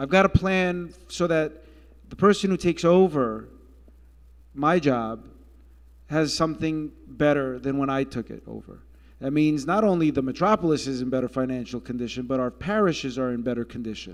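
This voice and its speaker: Against a quiet background, a man with a fairly high pitch speaks at a moderate pace, showing ordinary pitch variation and big swings in loudness. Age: 40s. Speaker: Orthodox metropolitan bishop. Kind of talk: town hall Q&A answer. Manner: hesitant, many fillers.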